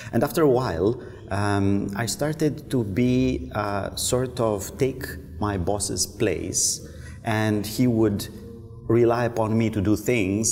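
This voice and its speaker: The voice has ordinary pitch variation. Faint music plays in the background. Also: man. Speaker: guest. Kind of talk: interview answer. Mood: relaxed, reflective storytelling. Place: cafe.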